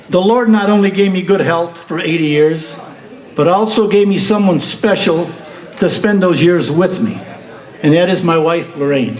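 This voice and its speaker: Amid noticeable background noise and audible room echo, a high-pitched man talks at a moderate pace with ordinary pitch variation. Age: 80s+. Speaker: retiree giving birthday speech. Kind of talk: speech at a party. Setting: banquet hall with audience. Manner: formal, earnest.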